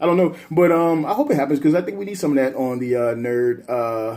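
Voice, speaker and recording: Medium-pitched male speech, its pitch rising and falling in an ordinary way. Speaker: vlogger. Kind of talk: casual vlog recap. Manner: fast; animated.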